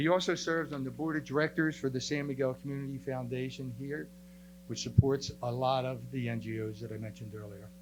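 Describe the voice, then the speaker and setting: With an American accent, a man speaks at a fairly quick pace and medium pitch, his pitch varying in an ordinary way. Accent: Philadelphia accent with New Jersey twang. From US Northeast, Camden, New Jersey. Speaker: real estate agent. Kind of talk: public presentation.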